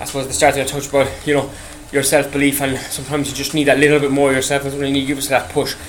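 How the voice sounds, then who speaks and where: A fairly high-pitched man with an Irish accent, amid noticeable background noise. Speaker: podcast host. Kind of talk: casual monologue. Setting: on an exercise bike. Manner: rambling, halting.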